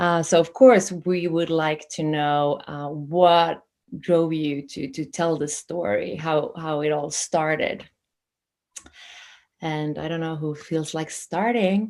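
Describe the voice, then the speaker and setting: A woman with a non-native accent speaks very slowly in a fairly low pitch. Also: fairly even intonation. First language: not English. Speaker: festival interview host. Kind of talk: interview hosting.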